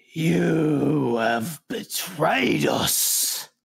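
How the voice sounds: A man does a put-on character voice at a fairly high pitch. It is guttural, raspy and growling.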